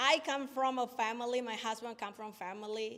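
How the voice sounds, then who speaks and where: A woman with a non-native accent talks at a moderate pace. Her pitch is high and her intonation fairly even. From Indonesia. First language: not English. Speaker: small business owner. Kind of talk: pitch presentation with Q&A. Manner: halting.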